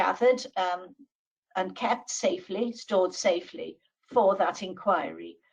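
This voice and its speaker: The speaker talks with a Welsh accent at a fairly slow pace. Vocal fry runs through the voice. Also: woman. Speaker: law professor. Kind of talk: webinar presentation. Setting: online webinar.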